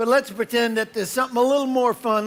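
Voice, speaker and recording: A man with a New York accent at a very fast pace. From New York, Brooklyn. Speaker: motivational speaker. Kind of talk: conference keynote. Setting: stage with audience. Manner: animated.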